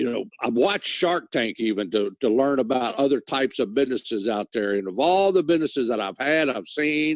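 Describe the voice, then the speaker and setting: A man talks in a normal speaking voice at medium pitch, fast-ish and with hardly any pauses. His intonation is lively, and the sound is dry and close with no echo. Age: 60s. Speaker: network marketing presenter. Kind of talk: sales pitch. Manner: casual.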